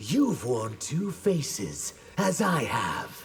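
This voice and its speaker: In a put-on character voice at a middle pitch, the speaker goes at a very slow pace with very wide pitch swings. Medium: video game. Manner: solemn.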